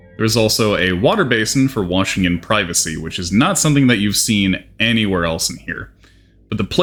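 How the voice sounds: The voice is natural. It belongs to someone reading.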